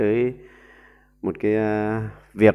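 This is a man with a fairly low pitch. The background is quiet. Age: 40s. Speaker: YouTube commentator. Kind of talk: monologue commentary. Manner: halting with frequent fillers. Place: home room. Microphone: earbuds.

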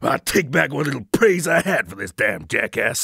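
In a put-on character voice, a man talks at a moderate pace with a raspy sound. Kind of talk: videogame voice acting. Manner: furious, shouting, profane.

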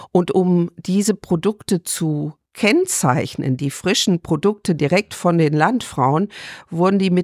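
A woman speaks in an ordinary speaking voice, fairly low in pitch, at a fairly slow pace with ordinary pitch variation. The recording is very clean, with a silent background and a dry, close sound with no echo. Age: 60s. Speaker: farmer and rural women's association official. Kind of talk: interview.

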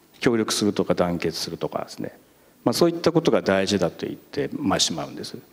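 At a very fast pace, a man talks in a fairly low pitch with very wide pitch swings. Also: big swings in loudness. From Japan. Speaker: junior high school principal; panelist teacher. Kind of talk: panel discussion. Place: hall. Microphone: handheld.

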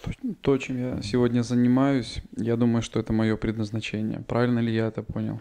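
Against a quiet background, a man with a dark, mellow tone talks fairly quickly in a flat, monotone way. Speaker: seminar participant asking questions. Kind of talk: question from audience. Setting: seminar hall with live audience. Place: home room.

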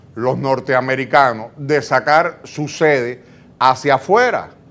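A man speaks at a very slow pace. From Dominican Republic. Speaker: talk show co-host. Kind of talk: talk show interview. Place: studio. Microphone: lapel.

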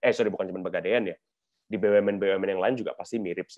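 A man rattles along at a very fast pace. His background is quiet. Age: 30s. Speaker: corporate digital transformation executive; guest. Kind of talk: webinar presentation and Q&A. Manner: casual, mixes Indonesian and English. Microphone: video call.

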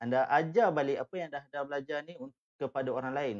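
A man speaks against a quiet background. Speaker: live web-business trainer. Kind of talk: live educational talk. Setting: live stream. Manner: hesitant, filler-heavy. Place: home room. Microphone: webcam.

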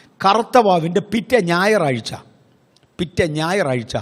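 A high-voiced man speaks with lively intonation. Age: 60s. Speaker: pastor. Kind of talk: sermon.

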